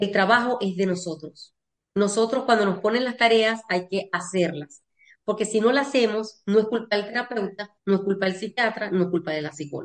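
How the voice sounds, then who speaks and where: Here a woman talks at medium pitch and a moderate pace. Her pitch varies in an ordinary way. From Venezuela. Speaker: family constellation therapist and lawyer. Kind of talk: interview.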